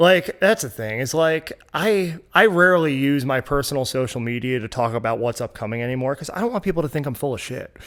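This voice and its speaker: A man with a plain, everyday voice talks fairly quickly at a fairly high pitch. His intonation is lively, and he hardly pauses at all. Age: 30s. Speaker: music promoter and blogger. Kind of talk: casual chat.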